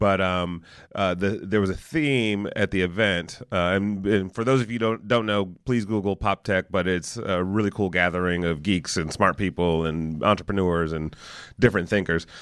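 Here a man talks at a moderate pace in a very deep, low voice. His pitch varies in an ordinary way. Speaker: podcast host. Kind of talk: casual interview. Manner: jokey.

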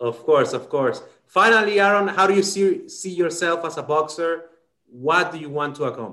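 A man with a Spanish accent, high-pitched, bright and sharp in tone, at a moderate pace, with big swings in loudness. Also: ordinary pitch variation. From Dominican Republic. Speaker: sports podcast host. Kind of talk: bilingual interview. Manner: halting.

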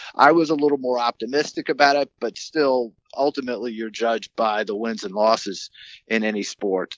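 With an American accent, a man speaks at medium pitch with ordinary pitch variation in an unremarkable speaking voice. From Maryland. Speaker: sports journalist. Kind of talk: interview. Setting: phone call.

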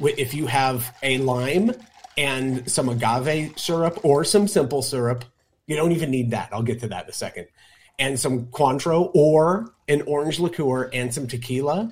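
Here a man speaks at a fairly high pitch with ordinary pitch variation. His voice is somewhat breathy, and his pace is moderate. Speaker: co-host and bartender. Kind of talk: tutorial.

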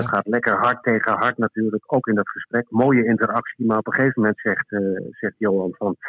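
A man speaks at a very fast pace and medium pitch with hardly any pauses. His loudness is very even and his intonation fairly even. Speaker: sports journalist and author. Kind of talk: interview. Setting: phone call.

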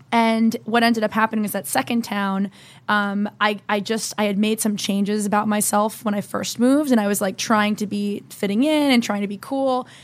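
A woman's fairly high voice with an American accent, fairly even intonation and hardly any pauses. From New Jersey. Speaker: entrepreneur. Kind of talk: interview. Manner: fast.

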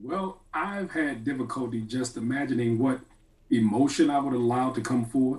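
This man's voice has a dark, mellow tone. It also sounds somewhat breathy. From Atlanta, Georgia. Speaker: philosophy professor. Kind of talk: radio panel discussion.

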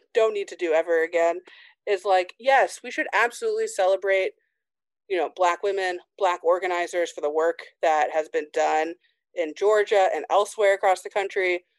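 In an American accent, a woman speaks at a medium pitch and a moderate pace with ordinary pitch variation, her voice dry and close with no echo against a quiet background. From Indiana, small town. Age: 30s. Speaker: sports journalist. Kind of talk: casual interview.

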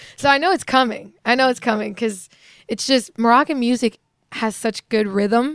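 Recorded with a dry, close sound with no echo, a woman with an ordinary speaking voice and a fairly high pitch talks at a moderate pace with ordinary pitch variation. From Virginia. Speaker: singer. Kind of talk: interview. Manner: casual, giggly.

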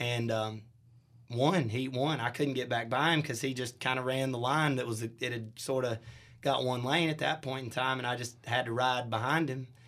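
A man speaks with a Southern US accent at a medium pitch. His intonation is fairly even and his pace moderate. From US South, Shelby, North Carolina. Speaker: country band singer. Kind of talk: casual interview. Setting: studio.

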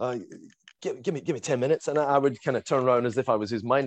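Very fast speech comes from a man with a fairly high pitch and vocal fry. The sound is dry and close, with no echo. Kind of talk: casual chat. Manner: animated, halting.

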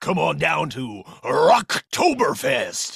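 At a very slow pace, a man performs in a put-on character voice.

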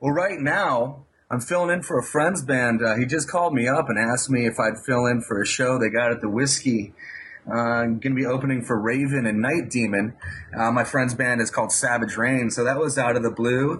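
An unremarkable speaking voice from a man, medium in pitch with ordinary variation, at a fairly quick pace and very even loudness. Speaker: guitar teacher. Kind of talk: interview.

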